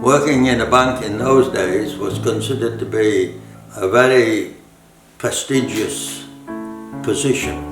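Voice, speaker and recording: With music in the background, a man speaks at a fairly slow pace and medium pitch. His intonation is lively, broken by long, frequent pauses. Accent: Cumbrian. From Cumbria, northern England. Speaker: WWII RAF veteran, radio engineer. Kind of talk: interview answer. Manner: hesitant, slow.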